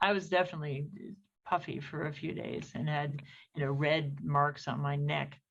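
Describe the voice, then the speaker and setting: Vocal fry marks this woman's very deep, low voice, and her intonation stays fairly even. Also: moderate pace. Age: 70s. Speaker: gynecologist. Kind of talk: interview.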